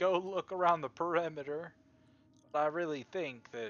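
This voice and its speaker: This is a man's voice. He uses a put-on character voice. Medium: actual play. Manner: formal, old-fashioned.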